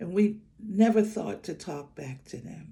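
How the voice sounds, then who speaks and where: A woman talks fairly slowly in a dark, mellow tone with some breathiness, her pitch rising and falling in a typical way. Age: 70s. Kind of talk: casual storytelling to camera. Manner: joyful, warm.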